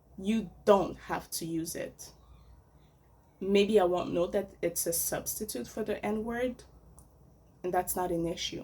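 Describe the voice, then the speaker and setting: With a non-native accent, a woman speaks at a very slow pace with long, frequent pauses. Her medium-pitched voice is somewhat breathy and dark and mellow in tone, with ordinary pitch variation. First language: French. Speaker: vlogger. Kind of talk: casual opinion monologue.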